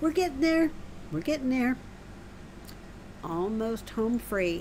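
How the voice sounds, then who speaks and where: A woman's high voice, very slow, with very wide pitch swings. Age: 60s. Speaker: gaming streamer. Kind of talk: live game stream chat. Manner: casual, chatty.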